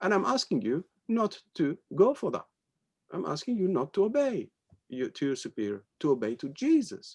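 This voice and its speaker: A man's high-pitched voice with a French accent, very wide pitch swings and a moderate pace. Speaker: spiritual teacher. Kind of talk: spiritual talk in conversation. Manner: halting.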